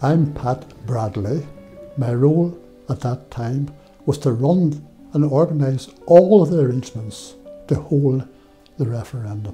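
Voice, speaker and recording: Speech comes at a fairly slow pace with long, frequent pauses. Faint music plays in the background. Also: man, ordinary pitch variation. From Northern Ireland, Derry; Northern Ireland. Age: 80s+. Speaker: former electoral official. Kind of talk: interview. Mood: calm, proud reflection. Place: studio. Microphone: lapel.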